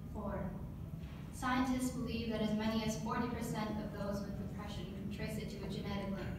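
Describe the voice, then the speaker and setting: A woman at a moderate pace amid loud background noise and audible room echo. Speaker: poet. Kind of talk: spoken word poetry performance, reading a poem aloud to council. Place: meeting room. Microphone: camera far.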